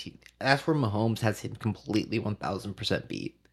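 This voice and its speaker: In an American accent, a man talks at a fairly quick pace with vocal fry and ordinary pitch variation, over a very clean recording with a silent background. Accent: sounds like a valley girl, by own account. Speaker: podcast host. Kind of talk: casual chat.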